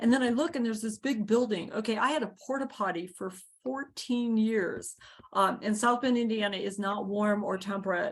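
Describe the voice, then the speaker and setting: A woman talks at a moderate pace in a fairly high pitch. Her voice is somewhat breathy. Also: ordinary pitch variation. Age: 60s. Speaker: community garden founder. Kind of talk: video call interview.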